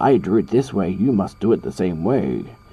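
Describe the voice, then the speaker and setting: This is a man's voice. There is noticeable noise in the background. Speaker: drawing tutorial youtuber. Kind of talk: tutorial. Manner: casual, hesitant with fillers.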